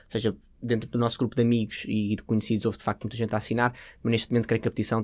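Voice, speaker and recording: In a European Portuguese accent, a man speaks very fast at a medium pitch with monotone, flat intonation, on a very clean recording with a silent background. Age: 20s. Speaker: junior doctor, petition author. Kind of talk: interview.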